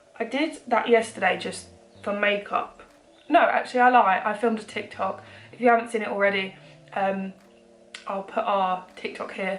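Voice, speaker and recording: A woman's fairly high voice at a moderate pace, broken by long, frequent pauses, with noticeable background noise. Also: ordinary pitch variation. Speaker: beauty vlogger. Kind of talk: makeup tutorial. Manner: casual, hesitant with fillers.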